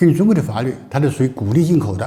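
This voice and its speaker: This man's voice is somewhat breathy and fairly high in pitch, with a dark, mellow tone. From China. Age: 80s+. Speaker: entrepreneur, former richest man. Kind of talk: business talk, personal storytelling. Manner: hesitant, repetitive.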